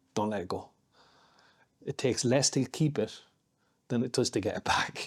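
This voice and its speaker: In a very clean recording with a silent background, a man speaks with an Irish accent. His medium pitch shows ordinary variation at a moderate pace. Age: 50s. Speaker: martial artist and security contractor. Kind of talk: casual chat.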